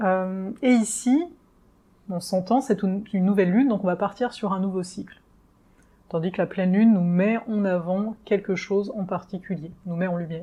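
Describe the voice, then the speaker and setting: Somewhat breathy, a woman speaks at a moderate pace and medium pitch with ordinary pitch variation. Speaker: astrologer. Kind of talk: astrology forecast video. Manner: hesitant fillers.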